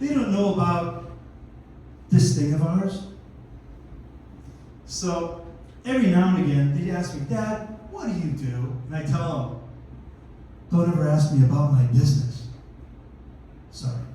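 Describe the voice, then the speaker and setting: Amid noticeable background noise and audible room echo, a man speaks at a fairly high pitch in an animated tone with lively intonation and long, frequent pauses. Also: fairly slow pace. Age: 60s. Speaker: comedian. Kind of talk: stand-up. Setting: stage with audience.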